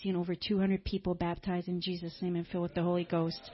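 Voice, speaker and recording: Speaking at a fairly quick pace, a woman has a somewhat breathy voice. Her pitch sits in the medium range. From France, raised by Canadian missionary parents. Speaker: missionary. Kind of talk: church greeting and testimony. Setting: church.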